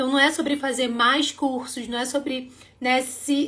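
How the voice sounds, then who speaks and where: A woman speaks in an animated tone. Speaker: dance teacher and school owner hosting a livestream. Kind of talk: livestream sales pitch. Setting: live stream.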